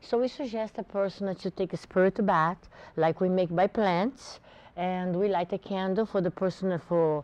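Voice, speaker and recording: A moderate pace in a Portuguese accent, with a dark, mellow tone, a dry, close sound with no echo and a quiet background. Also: woman. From Brazil. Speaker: botanica shop owner. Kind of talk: TV interview.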